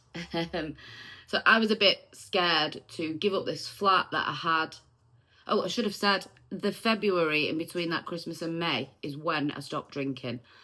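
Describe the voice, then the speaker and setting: In a Manchester accent, a woman speaks with a bright, sharp tone and a fairly low pitch. Her pace is moderate and her pitch variation ordinary. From Manchester, northern England. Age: 40s. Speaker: vlogger. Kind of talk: personal testimony. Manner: casual, with frequent um fillers.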